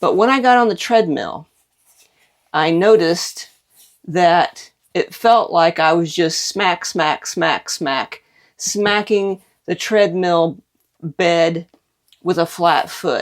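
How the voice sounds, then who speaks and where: A woman speaks at a very slow pace. She leaves long, frequent pauses. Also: fairly low pitch for a woman, ordinary pitch variation. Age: 60s. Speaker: product reviewer. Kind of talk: casual product review. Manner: conversational.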